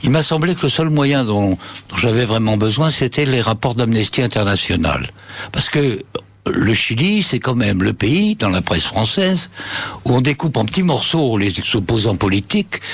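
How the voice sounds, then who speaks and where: A man with a Spanish accent and a medium pitch talks at a moderate pace with lively intonation and very even loudness, against noticeable background noise. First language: Spanish (speaking French). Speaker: author and former senior reporter. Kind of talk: radio interview.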